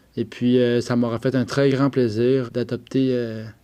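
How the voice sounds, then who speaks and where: A man with a Quebec accent speaks at a fairly slow pace, his pitch medium and his intonation fairly even. His tone is dark and mellow, and the background is quiet. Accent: Québécois French. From Quebec, Eastern Townships (Bromptonville). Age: 30s. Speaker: adoptee telling his story. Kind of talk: personal testimony. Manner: hesitant, frequent 'euh'.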